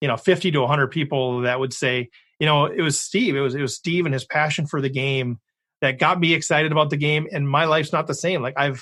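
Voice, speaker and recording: A man with an American accent has a normal speaking voice, a fairly high pitch and fairly even intonation. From Minnesota. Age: 50s. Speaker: poker podcast host. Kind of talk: interview.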